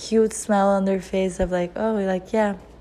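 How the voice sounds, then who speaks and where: Noticeable background noise sits behind a woman talking with fairly even intonation. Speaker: lifestyle vlogger. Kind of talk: casual monologue. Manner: halting, stumbling over words.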